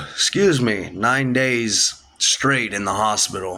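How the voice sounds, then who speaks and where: Noticeable background noise sits behind this recording. The man speaking keeps a fairly even intonation. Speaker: product reviewer. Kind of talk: casual vlog update. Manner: halting, repeats words.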